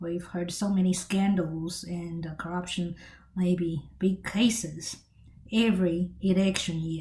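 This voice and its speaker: A fairly slow, somewhat breathy woman's voice at a medium pitch. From China. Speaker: political commentator. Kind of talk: monologue commentary. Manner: halting.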